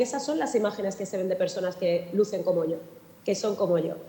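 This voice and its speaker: A woman's somewhat breathy voice with a dark, mellow tone, ordinary pitch variation and a fairly quick pace. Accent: southern Madrid. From Spain, Alcorcón (southern Madrid). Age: 40s. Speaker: journalist and anti-racist activist. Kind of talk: panel talk.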